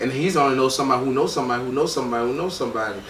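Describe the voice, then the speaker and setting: A man of medium pitch with a Miami accent talks with fairly even intonation amid noticeable background noise and audible room echo. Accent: island sound, Miami. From Miami, Florida, Haitian family. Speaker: record label co-founder. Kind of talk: casual interview.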